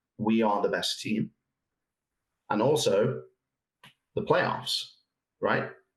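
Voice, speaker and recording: The man talks at a fairly slow rate. He has an English accent. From England. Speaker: soccer expert. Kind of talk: podcast interview.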